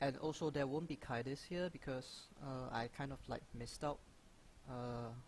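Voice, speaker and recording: Mumbling at a fairly slow pace with long, frequent pauses, a man with a non-native accent talks in a fairly high pitch and fairly even intonation. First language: not English. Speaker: gaming youtuber. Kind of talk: Q&A video monologue. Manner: halting, frequent fillers.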